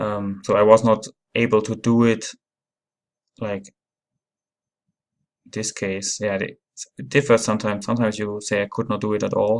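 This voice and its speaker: A man with a non-native accent at a fairly low pitch, monotone, flat intonation, a moderate pace and long, frequent pauses. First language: not English. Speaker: app reviewer. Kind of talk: tutorial. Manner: halting.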